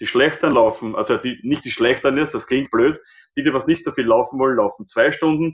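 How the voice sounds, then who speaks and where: At a fairly quick pace, a man with a normal speaking voice talks in a fairly high pitch with ordinary pitch variation. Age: 50s. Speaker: obstacle race organizer. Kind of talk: podcast interview.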